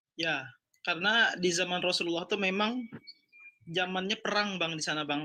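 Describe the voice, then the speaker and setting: Speaking at a moderate pace, a man with a high pitch uses a bright, sharp tone and fairly even intonation. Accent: South Kalimantan. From South Kalimantan, Indonesia (Banjar). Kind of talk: heated debate. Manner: halting.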